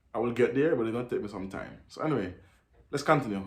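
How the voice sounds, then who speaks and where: Audible room echo surrounds a man at a medium pitch. He talks at a very fast pace with lively intonation. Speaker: reaction video commentator. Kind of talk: commentary on a video. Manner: halting, repeats words.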